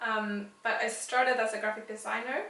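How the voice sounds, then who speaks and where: In a room with audible echo, a woman speaks at a moderate pace in a fairly high, monotone, flat voice. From Sweden (Västerås). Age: 30s. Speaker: illustrator. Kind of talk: interview.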